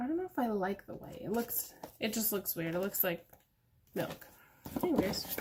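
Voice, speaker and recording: Over noticeable background noise, a woman with a fairly high pitch and lively intonation speaks at a moderate pace, leaving long, frequent pauses. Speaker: beauty youtuber. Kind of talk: product unboxing review. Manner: casual, chatty.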